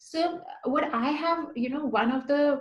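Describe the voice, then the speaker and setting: Audible room echo surrounds a woman as she talks. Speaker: guest. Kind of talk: interview chat.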